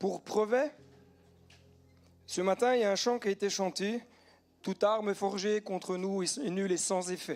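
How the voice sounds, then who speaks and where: The pace is fairly slow. Intonation stays fairly even throughout. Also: man. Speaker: pastor. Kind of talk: sermon.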